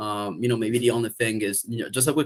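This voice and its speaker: On a very clean recording with a silent background, a man with an Italian accent speaks at a medium pitch with fairly even intonation. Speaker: community call organizer. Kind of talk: casual chat. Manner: halting.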